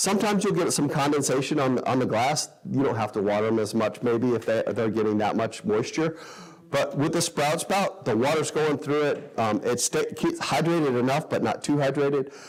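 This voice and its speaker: A man's lively intonation at a fairly quick pace, with very even loudness, over noticeable background noise. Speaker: sprouting enthusiast and class teacher. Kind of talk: workshop talk with audience Q&A. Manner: fast.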